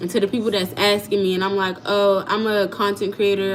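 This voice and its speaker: A woman's animated tone at a moderate pace over noticeable background noise. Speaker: content creator. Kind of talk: livestream storytelling.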